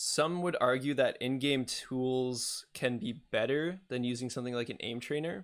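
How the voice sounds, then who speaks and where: Delivered at a moderate pace with hardly any pauses, the speech comes through a very clean recording with a silent background. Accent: Canadian. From English Canada. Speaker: esports coach and streamer. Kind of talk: live stream chat. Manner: casual, filler-heavy.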